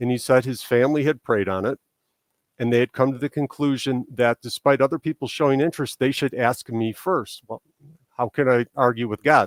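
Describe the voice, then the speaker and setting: Man at a medium pitch with a slight Chicago accent and fairly even intonation, in a dry, close sound with no echo on a very clean recording with a silent background. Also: fairly quick pace. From Chicago area, Illinois, US. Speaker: political candidate. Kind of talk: interview answers.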